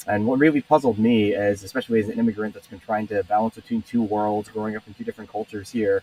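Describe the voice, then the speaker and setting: A man speaks at a very fast pace in a fairly low, monotone voice with flat intonation. The sound is dry and close with no echo, and music plays in the background. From Taiwan. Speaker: company co-founder. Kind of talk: interview. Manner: hesitant with fillers.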